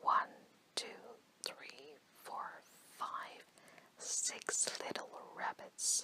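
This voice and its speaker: The speech is whispered. Behind it, noticeable background noise is present. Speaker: ASMR storyteller. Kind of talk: whispered bedtime story reading. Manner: soft, whispered, relaxing.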